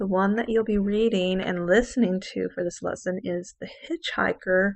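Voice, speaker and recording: A woman speaks at a moderate pace with fairly even intonation and a medium pitch. It is an ordinary speaking voice. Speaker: English teacher. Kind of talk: lecture.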